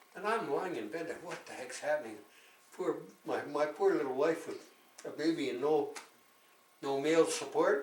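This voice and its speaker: A man speaks with big swings in loudness and long, frequent pauses. Noticeable background noise and audible room echo fill the recording. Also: moderate pace. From Canada. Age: 90s. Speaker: war veteran. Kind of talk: casual chat.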